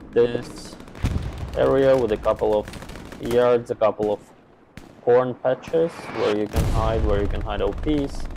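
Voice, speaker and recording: Over noticeable background noise, a speaker with a non-native accent talks at a fairly slow pace with long, frequent pauses. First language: not English. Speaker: esports caster. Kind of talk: live commentary. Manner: animated.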